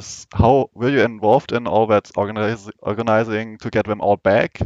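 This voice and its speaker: A man with a German accent talks at a fairly quick pace, his voice dry and close with no echo against a quiet background. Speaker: podcast host. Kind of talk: interview. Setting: live event watch party.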